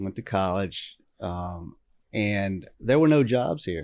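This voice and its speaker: A man with a Southern US accent and lively intonation, on a very clean recording with a silent background. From Mississippi Gulf Coast. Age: 60s. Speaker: town mayor. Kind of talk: casual chat. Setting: live recording at a coffee shop.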